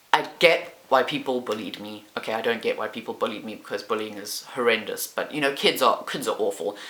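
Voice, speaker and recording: The speech moves at a fairly quick pace with hardly any pauses, over noticeable background noise. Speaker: YouTuber. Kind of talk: casual chat. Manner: loud.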